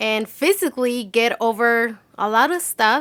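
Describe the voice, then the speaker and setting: A woman talks at a fairly high pitch with ordinary pitch variation. The recording is very clean, with a silent background. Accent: non-native. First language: Spanish. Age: 20s. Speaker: beauty vlogger. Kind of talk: casual chat. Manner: halting.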